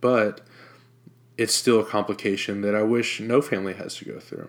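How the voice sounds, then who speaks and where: A man with an American accent speaks in a normal speaking voice at a fairly low pitch and moderate pace, his intonation fairly even, in a very clean recording over a silent background. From Jacksonville, Florida. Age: 20s. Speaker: podcast host. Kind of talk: personal testimony.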